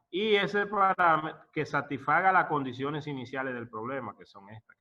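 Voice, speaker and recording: A man's unremarkable speaking voice, fairly high pitched, with lively intonation, big swings in loudness and a moderate pace. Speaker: professor. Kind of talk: lecture.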